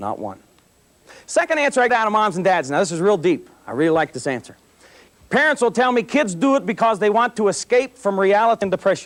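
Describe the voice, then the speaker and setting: At a very fast pace, a man with a high pitch makes very wide pitch swings in an animated tone. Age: 30s. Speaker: police officer and anti-drug speaker. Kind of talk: motivational talk to students.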